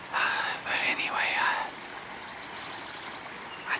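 There is noticeable background noise. The speaker has an American accent. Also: man. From Midwestern US. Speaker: whisper video creator. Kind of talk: ASMR whisper talk. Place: waterside.

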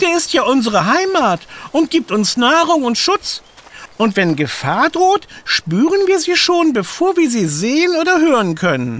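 In a put-on character voice, the speaker talks at a moderate pace with a high pitch. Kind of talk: children's audio drama. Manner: wise, philosophical.

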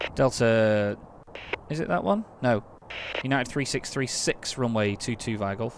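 Amid noticeable background noise, a man speaks in a relaxed tone with ordinary pitch variation and long, frequent pauses, in a dry sound with no echo. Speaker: gaming YouTuber. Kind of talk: gameplay commentary with simulated air traffic control radio calls. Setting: home recording with game on computer. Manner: rapid, clipped, businesslike radio phraseology, switching to relaxed chatty asides; multitasking, hurried and slightly flustered under pressure. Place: home room. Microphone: headset.

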